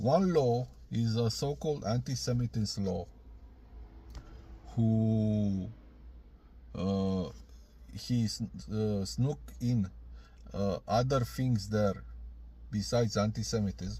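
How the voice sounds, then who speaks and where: Speaking at a very slow pace with long, frequent pauses, a man with a Romanian accent has a dark, mellow, somewhat breathy tone, fairly low pitch and lively intonation. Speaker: video blogger. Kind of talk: video reply. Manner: halting.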